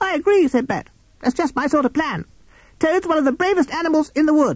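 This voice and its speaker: A man puts on a character voice at an extremely high pitch, talking at a fairly quick pace. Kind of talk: children's story reading. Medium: read story.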